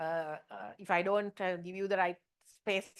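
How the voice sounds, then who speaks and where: Against a quiet background with dry, close sound and no echo, a woman with an ordinary speaking voice talks at a moderate pace at medium pitch with ordinary pitch variation. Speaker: lecturer. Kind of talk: lecture.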